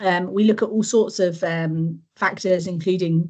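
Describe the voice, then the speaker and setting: A woman with a medium-pitched, somewhat breathy voice talks at a moderate pace with ordinary pitch variation. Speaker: food network coordinator and rural officer. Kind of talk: presentation. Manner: hesitant, many fillers.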